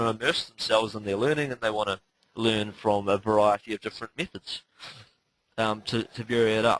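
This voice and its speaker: A man talks at a medium pitch and a fairly quick pace. The sound is dry and close with no echo. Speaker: online marketing teacher. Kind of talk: webinar tutorial. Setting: live webinar call. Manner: fast; frequent fillers (um, uh).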